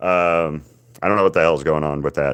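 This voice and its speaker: In a Southern US accent, a man speaks on a very clean recording with a silent background. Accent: Southern twang. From US South, Alabama. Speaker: artist livestreamer. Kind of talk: casual chat. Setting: live stream.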